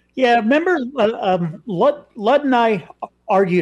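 In a normal speaking voice, a man talks at a fairly slow pace with ordinary pitch variation over a quiet background. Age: 60s. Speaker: talk show co-host. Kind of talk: political talk show.

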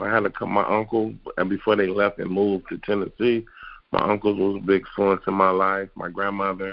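A man with an American accent speaks at a fairly low pitch. His intonation is monotone and flat. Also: fairly quick pace. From Detroit, Michigan. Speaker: retired football player. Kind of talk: interview.

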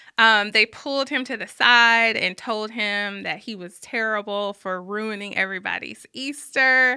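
Spoken with a Southern US accent at a fairly slow pace, this bright, sharp voice has big swings in loudness, fairly even intonation and hardly any pauses. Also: woman, fairly high pitch for a woman, very clean recording, silent background. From Birmingham, Alabama. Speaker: journalist and author. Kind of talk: casual interview. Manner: goofy and laughing.

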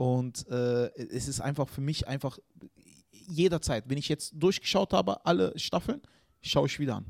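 In a plain, everyday voice, a man with fairly high pitch and lively intonation talks at a moderate pace, the sound dry and close with no echo. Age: 30s. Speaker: comedian. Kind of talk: casual chat.

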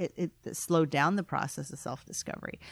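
Her pitch is very deep and low, and this woman talks at a fairly quick pace with ordinary pitch variation. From immigrant to the US. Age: 40s. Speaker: business consultant, former lawyer. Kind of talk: interview.

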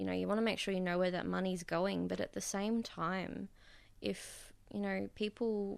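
A woman talks with an Australian accent. The background is quiet. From Bundaberg, Queensland, Australia. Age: 20s. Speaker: self-employed artist. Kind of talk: interview. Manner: hesitant, with fillers.

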